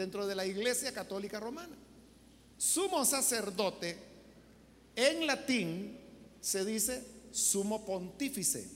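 The speech moves fairly slowly, with long, frequent pauses. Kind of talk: sermon.

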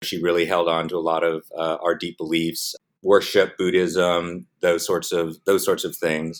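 With an American accent, a man speaks at a fairly slow pace in a very deep, low pitch and monotone, flat intonation. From US West Coast, San Diego. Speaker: film producer. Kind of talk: interview. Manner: hesitant with many fillers.

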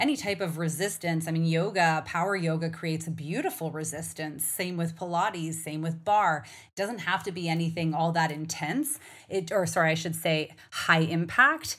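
A woman has an unremarkable speaking voice with a fairly low pitch. She talks at a moderate pace with fairly even intonation. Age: 40s. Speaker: podcast host and hormone coach. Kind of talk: solo podcast monologue. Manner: warm, conversational, direct to audience.

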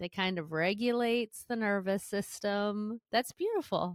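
An unremarkable speaking voice from a woman, fairly high in pitch with ordinary pitch variation, at a fairly slow pace, in a very clean recording with a silent background. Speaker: podcast host, therapist-style educator. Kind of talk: casual chat.

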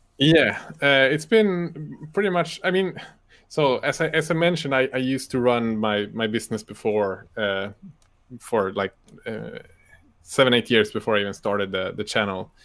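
A man with a Swedish accent, medium pitch, moderate pace and lively intonation. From northern Sweden. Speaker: YouTuber and miniature painter. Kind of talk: casual interview. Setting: live stream video call.

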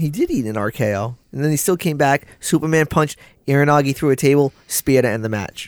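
A man with a plain, everyday voice and a fairly high pitch talks at a fairly quick pace with ordinary pitch variation, on a very clean recording with a silent background and a dry, close sound with no echo. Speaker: wrestling podcast co-host. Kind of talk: casual chat. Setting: studio.

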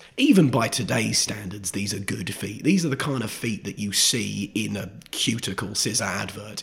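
Over noticeable background noise, a man with a fairly low pitch and ordinary pitch variation speaks at a moderate pace with hardly any pauses. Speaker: stand-up comedian. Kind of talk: casual chat.

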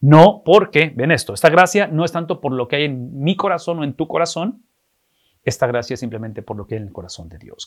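On a very clean recording with a silent background, a man talks at a very fast pace with a fairly high pitch, very wide pitch swings and big swings in loudness. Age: 50s. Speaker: pastor. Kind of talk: sermon.

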